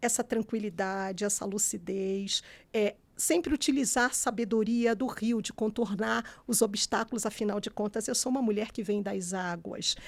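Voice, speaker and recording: With a Rio de Janeiro accent, a woman speaks at a moderate pace in a fairly high pitch on a very clean recording with a silent background. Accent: carioca. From Rio de Janeiro city, Brazil. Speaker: human rights defender, lawyer. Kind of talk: interview conversation. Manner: calm, relaxed.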